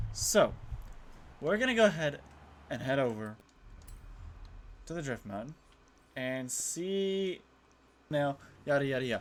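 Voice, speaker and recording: Noticeable background noise sits under this recording. A man talks at a fairly slow pace with very wide pitch swings. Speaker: gaming YouTuber. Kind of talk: gameplay commentary. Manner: casual, halting; quiet while focusing.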